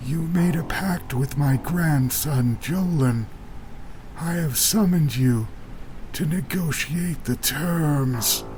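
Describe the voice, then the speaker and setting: Using a put-on character voice at a fairly high pitch, a man talks at a very slow pace over clear background noise. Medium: read story. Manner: steady, determined.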